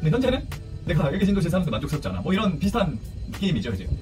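A man talks while clear music plays behind him. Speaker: ship's first officer on a chemical tanker. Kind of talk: casual advice talk to camera. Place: home room. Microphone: phone near.

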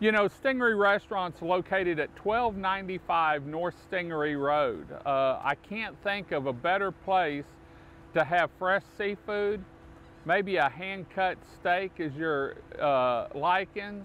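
Fairly slow and high-pitched, a man speaks with ordinary pitch variation in a dry sound with no echo and light background noise. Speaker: local show host promoting a restaurant. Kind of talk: promotional talk to camera. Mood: warm, enthusiastic. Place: waterside.

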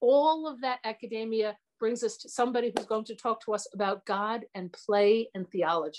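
Over light background noise, a woman with a fairly high pitch speaks with lively intonation. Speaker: parish lecture series host. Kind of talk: formal introduction and prayer. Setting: video call. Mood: warm, pleased. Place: home room. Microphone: video call.

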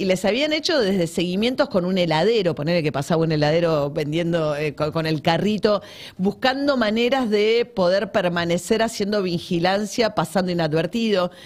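A woman speaks at a moderate pace with lively intonation and hardly any pauses. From Argentina. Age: 50s. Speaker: journalist and author; journalist. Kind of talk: interview about her book. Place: studio. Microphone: studio mic.

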